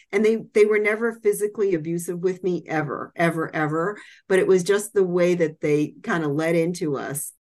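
Someone with an American accent talks at a moderate pace in a plain, everyday voice, with ordinary pitch variation. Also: woman, fairly low pitch for a woman, hardly any pauses. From Massachusetts. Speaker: author and medical writer. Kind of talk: interview.

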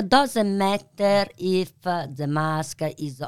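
In a very clean recording with a silent background, a woman speaks very slowly. She has an Italian accent. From Italy. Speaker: pasta maker and business founder. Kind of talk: interview. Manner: halting.

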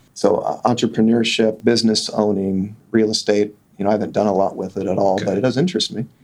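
A man with an American accent talks very fast with hardly any pauses, using a fairly low pitch and fairly even intonation. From Kansas (Sedgwick). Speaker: optometrist. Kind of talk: interview. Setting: studio.

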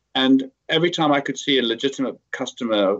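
With a British accent, a man speaks at medium pitch and with ordinary pitch variation. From UK. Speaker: tech company CEO. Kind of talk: interview.

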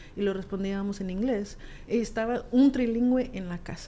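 A woman speaks at a moderate pace. Her pitch is medium, and her intonation is fairly even. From US, Alamosa, Colorado; Guatemalan family. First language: raised trilingual: Spanish, Q'anjob'al, English (speaking Spanish). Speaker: musician and community advocate. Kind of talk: interview, casual chat.

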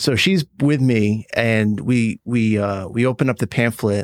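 Speaking in a New York State accent, a man uses a fairly low pitch and fairly even intonation. The recording is very clean, with a silent background. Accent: American, New York State. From New York State, Woodstock. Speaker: startup founder and CEO. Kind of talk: casual interview.

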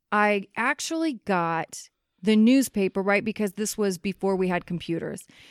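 A woman with an American accent talks at a moderate pace and a medium pitch in a plain, everyday voice. The sound is dry and close with no echo, on a very clean recording with a silent background. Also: ordinary pitch variation. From Kansas City, US Midwest. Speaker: podcast host and life coach in addiction recovery. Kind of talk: casual interview.

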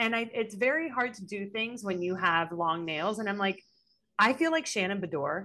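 A woman with an ordinary speaking voice talks at a moderate pace, her medium pitch moving in a lively, varied way. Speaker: podcast co-host. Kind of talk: casual chat.

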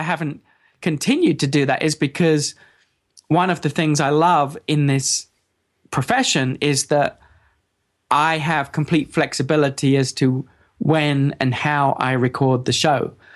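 Against a quiet background, a man with an English accent speaks at a moderate pace, his fairly high pitch showing ordinary variation and his loudness very even. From England. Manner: halting.

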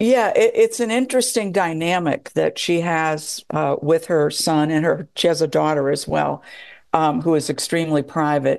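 A woman's ordinary speaking voice, fairly low in pitch, with lively intonation, very even loudness and a quiet background. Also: moderate pace. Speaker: documentary filmmaker. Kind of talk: interview.

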